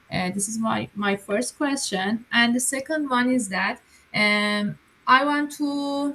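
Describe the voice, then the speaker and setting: Speaking at a very slow pace, a woman with a Persian accent uses a fairly high pitch and ordinary pitch variation. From Iran. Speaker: coaching member, job seeker. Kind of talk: asking questions on live call. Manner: halting, many fillers.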